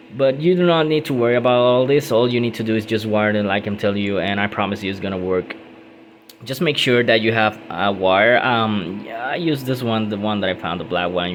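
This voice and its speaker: Amid noticeable background noise, a man with a non-native accent talks at a fairly quick pace with ordinary pitch variation. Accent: non-native English, self-described. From Puerto Rico. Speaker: car DIY youtuber. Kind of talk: tutorial. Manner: hesitant, many fillers.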